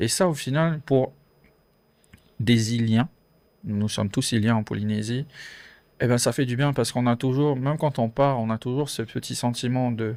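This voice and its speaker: On a very clean recording with a silent background, a man speaks at a medium pitch and a moderate pace. His intonation is fairly even, with long, frequent pauses. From French Polynesia. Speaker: podcast guest. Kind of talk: casual interview chat. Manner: hesitant, many fillers.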